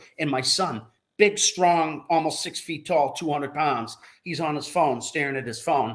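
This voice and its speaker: A man with a normal speaking voice talks at a moderate pace, his fairly high pitch showing ordinary variation. The recording is very clean, with a silent background. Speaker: co-host of live call-in show. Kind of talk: casual chat.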